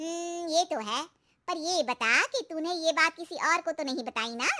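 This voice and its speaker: A woman does a squeaky cartoonish character voice at an extremely high pitch, with lively intonation. She talks fairly quickly, and the sound is dry and close with no echo. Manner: sweetly familiar.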